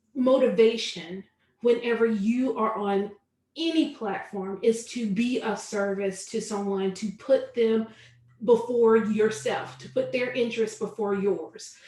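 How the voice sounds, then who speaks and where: A woman with a Southern US accent talks at a fairly slow pace in a fairly high voice, with ordinary pitch variation and big swings in loudness. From US South, Charlotte, North Carolina. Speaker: online business coach. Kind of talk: webinar tutorial.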